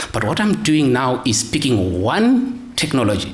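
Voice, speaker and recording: A man's pitch swings very widely as he talks, with audible room echo and noticeable background noise. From Scotland. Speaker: audit specialist, conference speaker. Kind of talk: conference presentation. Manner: hesitant, repeats words.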